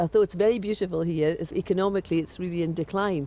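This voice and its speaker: A fairly quick delivery in a Scottish Highland accent. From Scotland, Sutherland. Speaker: crofting estate board chair and teacher. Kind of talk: interview.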